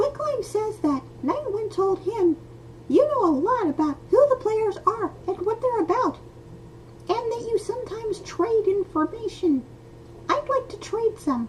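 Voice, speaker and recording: A squeaky, put-on character voice at an extremely high pitch, moderate pace, with clear background noise. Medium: read story. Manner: nervous, talkative.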